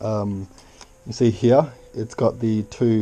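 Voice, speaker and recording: A man's fairly low voice in a monotone, flat intonation, with noticeable background noise. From Australia. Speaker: YouTuber. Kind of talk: unboxing video. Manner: casual, playful; hesitant.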